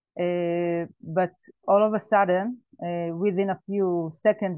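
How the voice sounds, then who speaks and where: A woman speaks at a medium pitch in an Israeli accent, her intonation fairly even. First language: Hebrew. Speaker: survivor, farmer. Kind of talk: testimony. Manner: halting.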